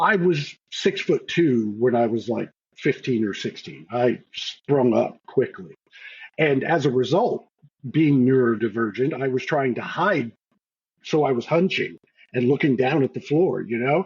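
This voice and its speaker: The voice is somewhat breathy, with lively intonation at a fairly slow pace. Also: man, medium pitch for a man. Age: older than the hosts. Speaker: game master. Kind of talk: casual chat.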